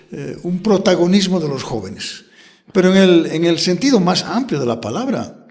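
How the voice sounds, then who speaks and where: A man speaks at a moderate pace in a high voice. His intonation is lively, and the room echo is audible. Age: 70s. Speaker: politician. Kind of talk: interview.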